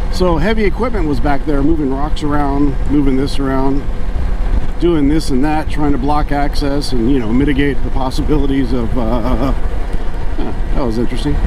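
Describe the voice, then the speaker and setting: Noticeable background noise sits behind a man whose loudness stays very even, in a dry sound with no echo. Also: moderate pace. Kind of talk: casual vlog chat. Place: motorbike. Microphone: helmet.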